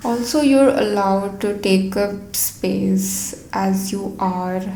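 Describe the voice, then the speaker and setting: Soft-spoken and at a medium pitch, a woman's voice carries audible room echo amid noticeable background noise. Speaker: podcast host and YouTuber. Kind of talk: personal monologue. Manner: halting.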